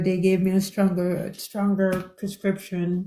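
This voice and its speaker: Speaking fairly slowly, a woman uses a medium pitch and a dark, mellow tone, her intonation monotone and flat. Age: 60s. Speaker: caller asking about eye health. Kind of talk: live stream Q&A. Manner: halting, many fillers.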